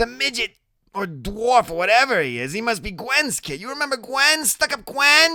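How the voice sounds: In a put-on character voice, a man speaks at an extremely high pitch and moderate pace, with big pitch swings and a bright, sharp tone.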